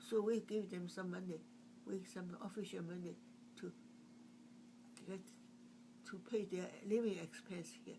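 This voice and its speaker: A woman's dark, mellow voice at medium pitch with vocal fry and a Chinese accent, at a moderate pace with long, frequent pauses and audible room echo. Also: ordinary pitch variation. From China. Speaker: artist. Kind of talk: oral history interview. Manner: halting.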